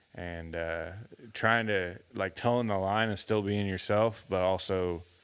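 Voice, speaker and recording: Here a man speaks with a Texan accent at a very slow pace. His intonation stays fairly even. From Texas, Houston area. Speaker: musician. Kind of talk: casual interview chat. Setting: studio. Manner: halting, many fillers and restarts.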